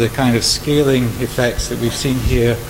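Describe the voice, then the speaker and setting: With music in the background and audible room echo, a man speaks with fairly even intonation. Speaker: conflict modelling researcher. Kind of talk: audience question at symposium. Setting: conference hall with microphone.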